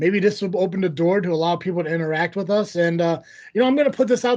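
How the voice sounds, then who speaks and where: A man speaks in a high pitch with ordinary pitch variation. The background is quiet. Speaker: wrestling podcast host. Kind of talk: casual chat. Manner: fast.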